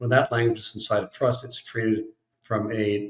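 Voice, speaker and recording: Somewhat breathy and fairly low-pitched, a man talks at a fairly quick pace. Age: 60s. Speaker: estate planning attorney. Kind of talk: podcast interview.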